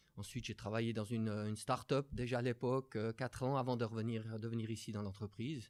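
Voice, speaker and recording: At a fairly quick pace with hardly any pauses, a man with a medium pitch speaks in a monotone, flat intonation. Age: 50s. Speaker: business executive. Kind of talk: interview.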